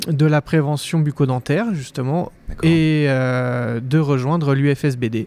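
This man has an unremarkable speaking voice, a fairly high pitch and ordinary pitch variation. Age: 30s. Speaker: dentist. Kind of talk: interview.

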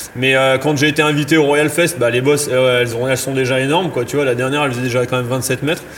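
A man talks at a fairly quick pace in a fairly high pitch, with noticeable background noise behind him. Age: 30s. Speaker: freeride mountain biker and slopestyle judge. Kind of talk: casual interview. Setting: recording in a bike shop space. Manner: hesitant, many fillers.

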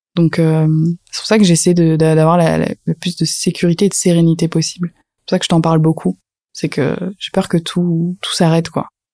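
At a moderate pace, a woman speaks in a fairly low pitch with a dark, mellow tone and monotone, flat intonation, in a very clean recording with a silent background and a dry, close sound with no echo. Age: 20s. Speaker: social media trainer. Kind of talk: casual chat.

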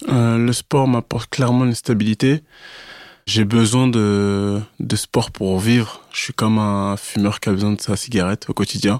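Dry and close with no echo, a man's fairly low voice moves at a fairly slow pace with fairly even intonation. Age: 30s. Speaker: amateur fitness competitor. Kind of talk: casual interview. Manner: halting, with frequent repetitions.

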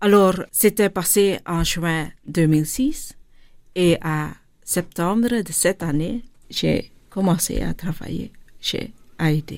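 A woman speaks at a very slow pace with a fairly low pitch. Her pitch variation is ordinary. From Flanders, Belgium (born in India, adopted at 6). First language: Dutch (Flemish) (speaking French). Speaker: charity director. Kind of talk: interview. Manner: halting.

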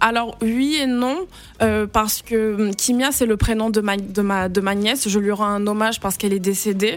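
A plain, everyday voice from a woman, fairly high-pitched, with fairly even intonation, very even loudness and a moderate pace. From Senegal. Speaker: children's book author. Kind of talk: radio interview.

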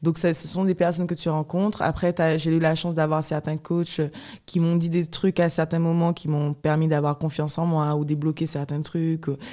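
A woman's very deep, low voice with a dark, mellow tone and monotone, flat intonation at a moderate pace, in a very clean recording with a silent background. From Guadeloupe. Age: 20s. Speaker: professional fencer. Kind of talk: interview conversation. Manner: halting.

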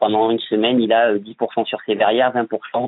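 This man talks at a medium pitch in a monotone, flat delivery. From France, Bordeaux. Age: 30s. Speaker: building tradesman. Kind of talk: interview. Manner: hesitant, many repetitions.

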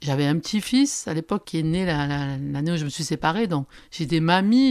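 On a very clean recording with a silent background, a woman speaks at a moderate pace and a fairly low pitch with ordinary pitch variation. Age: 60s. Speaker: social media influencer. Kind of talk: testimony. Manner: halting.

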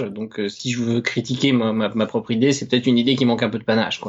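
At a medium pitch, a man speaks with monotone, flat intonation. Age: 30s. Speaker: web developer and musician-composer. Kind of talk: interview. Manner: halting, with many hesitations.

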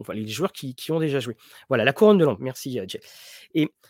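A fairly high-pitched man's voice with very wide pitch swings, dry and close with no echo, on a very clean recording with a silent background. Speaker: tabletop role-playing game streamer. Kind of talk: live stream chat. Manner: quiet, slow.

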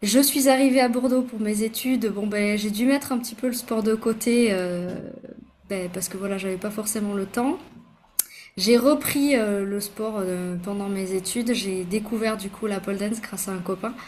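A woman's fairly high, somewhat breathy voice. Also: ordinary pitch variation, moderate pace. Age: 30s. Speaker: pharmacist and micronutritionist. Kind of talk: interview. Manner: hesitant with fillers.

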